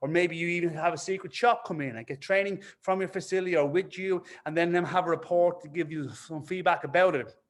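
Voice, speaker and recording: With an Irish accent and an animated tone, a man speaks at a high pitch and a fairly quick pace. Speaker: fitness business coach. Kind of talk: webinar presentation. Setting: online webinar. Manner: fast when excited.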